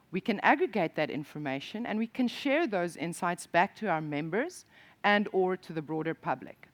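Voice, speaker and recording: Heard with a dry, close sound and no echo, a woman speaks with an South African accent and lively intonation. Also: medium pitch for a woman, moderate pace. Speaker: industry association programme director. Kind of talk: conference presentation. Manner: hesitant, with fillers and restarts.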